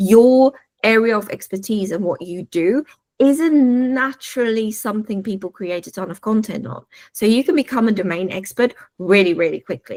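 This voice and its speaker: With a South African accent, a woman speaks in an animated tone at a moderate pace and fairly high pitch, showing ordinary pitch variation and big swings in loudness in a dry, close sound with no echo. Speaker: AI consultant. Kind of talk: webinar talk. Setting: video call.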